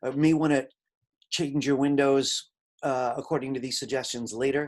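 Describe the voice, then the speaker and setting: Against a quiet background, a man talks at a fairly quick pace. His fairly high voice carries an American accent. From Brooklyn, New York. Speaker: college instructor. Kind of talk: lecture. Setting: video call. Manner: fast.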